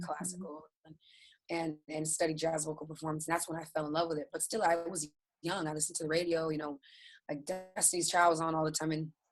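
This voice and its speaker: Music plays behind a woman whose voice sits very deep and low. She speaks at a very fast pace with monotone, flat intonation. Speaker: interview guest, singer. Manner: conversational, many filler words.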